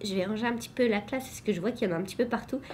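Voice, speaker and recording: This is a woman speaking. Room echo is audible. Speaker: teacher and vlogger. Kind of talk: vlog. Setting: classroom.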